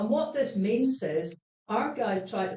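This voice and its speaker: In a Scottish accent, a woman speaks in an animated tone with very wide pitch swings. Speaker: panel speaker. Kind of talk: panel discussion. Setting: stage with audience.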